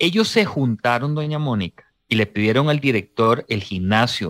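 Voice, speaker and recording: At a fairly slow pace, a man speaks in a plain, everyday voice with lively intonation, the very clean recording dry and close with no echo over a silent background. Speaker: radio host. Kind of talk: radio interview. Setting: studio.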